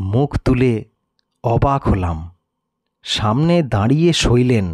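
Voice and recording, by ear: A man's slightly mellow voice at medium pitch, with lively intonation and a slow pace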